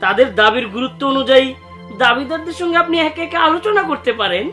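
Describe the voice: A man's put-on character voice, extremely high-pitched with a bright, sharp tone, fast and lively in intonation, with faint music in the background.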